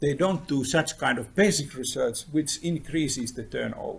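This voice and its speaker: Somewhat breathy, fairly high male speech at a moderate pace, full of lively intonation. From Finland. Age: 60s. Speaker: professor. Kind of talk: lecture. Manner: animated.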